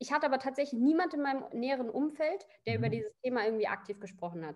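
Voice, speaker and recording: Energetic in tone, a woman speaks at a high pitch. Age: 20s. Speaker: coaching client. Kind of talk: casual interview.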